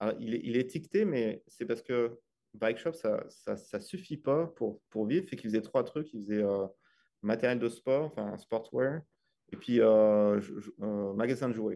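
Speaking fairly slowly, a man uses a medium pitch and a dark, mellow tone. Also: ordinary pitch variation. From France. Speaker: engineer, family bike traveler. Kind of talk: casual interview.

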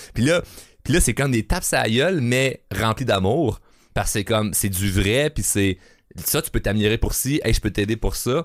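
Animated male voice at medium pitch with lively intonation and a moderate pace, dry and close with no echo, on a very clean recording over a silent background. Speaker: podcast host. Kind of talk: casual chat.

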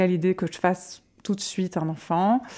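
Very clean recording with a silent background: a woman's plain, everyday voice at medium pitch, with fairly even intonation. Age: 30s. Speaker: mother sharing pregnancy loss story. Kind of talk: testimony. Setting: at guest's home.

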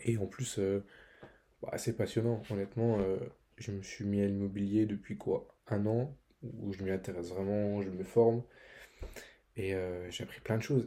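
A man's fairly low voice carries a dark, mellow tone and fairly even intonation. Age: 20s. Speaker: student podcast host. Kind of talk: solo podcast monologue. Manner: halting, many fillers; casual.

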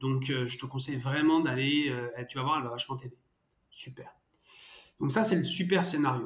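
Somewhat breathy and fairly high-pitched, a man speaks at a moderate pace with ordinary pitch variation and long, frequent pauses. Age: 30s. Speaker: startup co-founder, father. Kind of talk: interview. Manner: hesitant, many fillers and repetitions.

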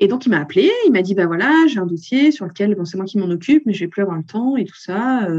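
At a very fast pace and with hardly any pauses, a woman speaks at a medium pitch, her pitch swinging very widely. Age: 40s. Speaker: accountant and photographer. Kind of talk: interview.

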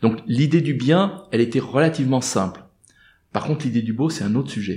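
At a moderate pace, a man speaks in a dark, mellow tone that is somewhat breathy. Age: 50s. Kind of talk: interview. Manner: halting.

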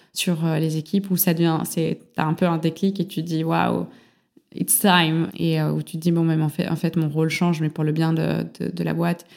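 Moderately paced, a woman's fairly low voice holds a monotone, flat intonation in a very clean recording with a silent background. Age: 20s. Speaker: entrepreneur. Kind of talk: interview.

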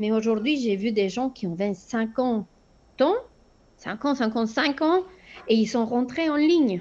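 In a Spanish accent, a woman speaks at a fairly high pitch. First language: Spanish (speaking French). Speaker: flight instructor. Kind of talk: interview. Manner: hesitant, many fillers.

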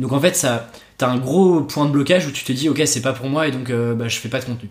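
This man has an unremarkable speaking voice and talks at a fairly quick pace with ordinary pitch variation. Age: 20s. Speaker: copywriter and podcaster. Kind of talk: casual chat.

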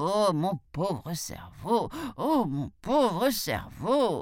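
Very slow and middle-pitched, the speaker puts on a character voice. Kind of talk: theatrical, exclaiming. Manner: wailing, lamenting.

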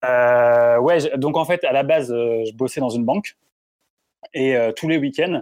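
A man speaks in an unremarkable speaking voice. His pitch sits at a medium level, with ordinary pitch variation. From France, Grenoble. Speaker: football reporter and former radio commentator. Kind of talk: casual interview.

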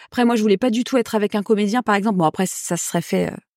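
A woman at medium pitch with ordinary pitch variation speaks at a very fast pace, recorded very cleanly with a silent background and a dry, close sound with no echo. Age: 40s. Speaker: actress and playwright. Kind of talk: casual chat.

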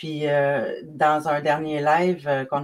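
Fairly slowly, a woman speaks in a very deep, low pitch. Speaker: magazine creator and live show host. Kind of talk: live video interview. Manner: halting.

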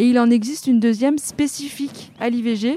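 Fairly high, fairly even intonation in a woman's voice. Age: 30s. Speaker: prevention worker. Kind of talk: interview. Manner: hesitant, many fillers.

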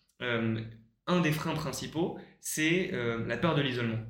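Room echo is audible as a man speaks with lively intonation. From Paris region, France. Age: 20s. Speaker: co-living startup co-founder. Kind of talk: interview. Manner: hesitant, many fillers.

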